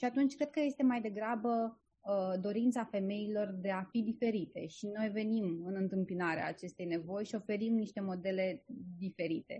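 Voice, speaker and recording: At a moderate pace, a woman talks in a medium-pitched, somewhat breathy voice with ordinary pitch variation. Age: 30s. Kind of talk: interview. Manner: hesitant, many filler sounds.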